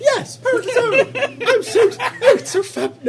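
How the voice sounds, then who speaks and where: A squeaky, put-on character voice at an extremely high pitch and a moderate pace. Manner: camp, flamboyant, gushing.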